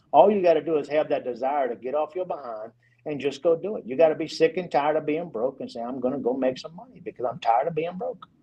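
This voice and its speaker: Speaking at a very fast pace, a man with a fairly high pitch uses lively intonation and big swings in loudness. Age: 50s. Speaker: real estate developer. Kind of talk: podcast interview.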